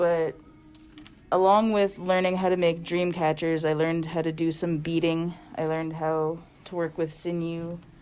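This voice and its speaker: A woman speaks with a Canadian Prairies accent. Her pitch is fairly low and her intonation monotone and flat. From Canada, Winnipeg, Manitoba. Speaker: artist, workshop facilitator. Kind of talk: casual chat during a craft workshop. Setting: art studio workshop.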